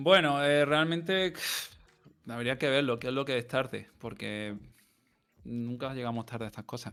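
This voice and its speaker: A man's bright, sharp tone at a fairly slow pace. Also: medium pitch for a man, ordinary pitch variation. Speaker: podcast co-host. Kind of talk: casual chat. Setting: live-streamed podcast.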